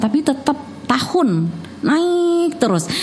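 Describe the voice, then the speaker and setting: A woman is heard over noticeable background noise. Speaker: radio host. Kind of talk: casual chat. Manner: fast.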